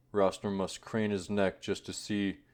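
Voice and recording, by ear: A natural voice, reading aloud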